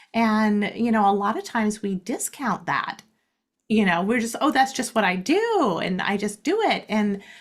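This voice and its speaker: Recorded very cleanly against a silent background, a woman with an American accent speaks at a moderate pace in a somewhat breathy voice with ordinary pitch variation. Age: 60s. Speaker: life coach. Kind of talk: interview.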